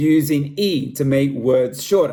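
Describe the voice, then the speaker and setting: A man's fairly high, somewhat breathy voice with a dark, mellow tone, lively intonation and an Australian accent. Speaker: school staff member. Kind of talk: scripted presentation.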